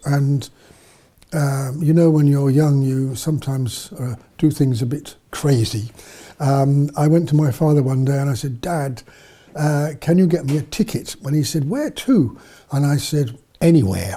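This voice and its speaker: A man with a southern English accent, fairly high pitch, ordinary pitch variation, a dark, mellow, somewhat breathy tone and a moderate pace. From southern England, near London. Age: 70s. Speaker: missionary priest. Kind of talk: interview storytelling. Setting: studio. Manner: halting, many fillers.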